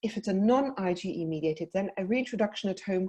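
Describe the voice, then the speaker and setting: A woman with a South African accent speaks at a medium pitch and a fairly quick pace. Her tone is dark and mellow, somewhat breathy, with lively intonation. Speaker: paediatric dietitian. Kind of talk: webinar presentation. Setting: online webinar.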